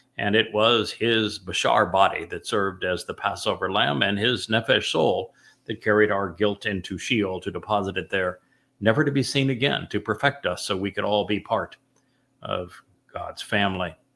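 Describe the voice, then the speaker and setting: Booming and bright with a sharp edge, a man's voice moves with ordinary pitch variation on a very clean recording over a silent background. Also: fairly low pitch for a man, moderate pace. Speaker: religious study host and author. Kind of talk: religious study discussion.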